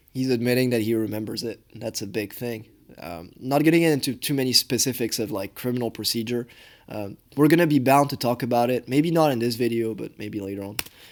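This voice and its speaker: A man with a French accent speaks at a fairly quick pace and a medium pitch, his loudness swinging widely and his pitch varying in an ordinary way, on a very clean recording with a silent background. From France. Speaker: law student commentator. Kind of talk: reaction commentary. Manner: halting.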